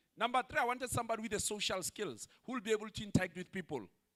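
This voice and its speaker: Raised and projected, a man's voice races at a very fast pace with an animated, bright, sharp tone and an extremely high pitch for a man. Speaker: pastor. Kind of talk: sermon. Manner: loud.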